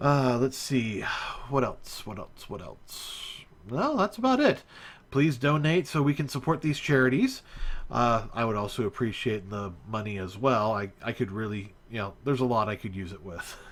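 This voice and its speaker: On a very clean recording with a silent background, a man with an American accent talks at a moderate pace. His medium-pitched voice has lively intonation. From USA. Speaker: live streamer, 3D game modder. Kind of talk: live stream chat. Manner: hesitant, many filler words.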